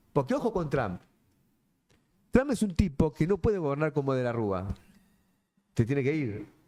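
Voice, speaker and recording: A man with a Rioplatense accent speaks in a dark, mellow tone at a fairly high pitch. His pitch swings very widely, and he takes long, frequent pauses. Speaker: politician. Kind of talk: panel discussion. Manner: fast; animated.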